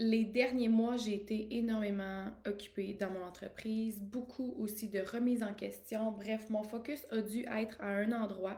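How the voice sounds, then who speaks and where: Somewhat breathy, a woman speaks at a fairly high pitch with monotone, flat intonation and audible room echo. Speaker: life coach. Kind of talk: live stream monologue. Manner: casual, with many fillers.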